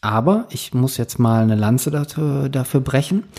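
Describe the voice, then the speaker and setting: With a dark, mellow tone and a somewhat breathy quality, a man talks at a moderate pace and medium pitch using lively intonation. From northern Germany. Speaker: podcast host. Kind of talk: casual chat.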